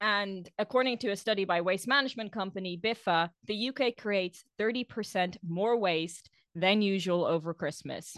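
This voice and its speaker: With a non-native accent, a woman speaks at a medium pitch and a moderate pace, with ordinary pitch variation and hardly any pauses. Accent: non-English, foreign-accented English. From outside the UK, expat background. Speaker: podcast co-host. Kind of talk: casual chat.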